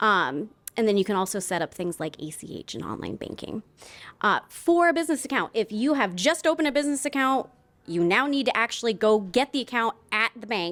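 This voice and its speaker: A woman's fairly high, fairly quick voice with very wide pitch swings and big swings in loudness, on a very clean recording with a silent background. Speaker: banker. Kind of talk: conference presentation.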